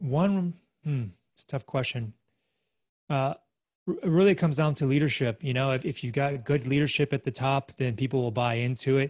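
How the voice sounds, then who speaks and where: Somewhat breathy and fairly high-pitched, a man talks at a fairly quick pace with ordinary pitch variation and long, frequent pauses, in a dry, close sound with no echo over a quiet background. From Australia. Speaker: real estate investor. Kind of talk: interview.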